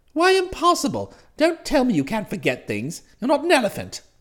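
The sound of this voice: A man performs a put-on character voice at an extremely high pitch with a fairly bright tone. His pitch swings very widely, and his pace is fairly quick.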